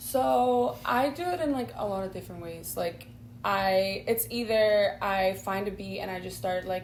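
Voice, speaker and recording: A woman is speaking in a room with audible echo. Noticeable noise is present in the background. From Spain. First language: not English (English is her third language). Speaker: singer-songwriter. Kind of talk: interview. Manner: halting, many fillers.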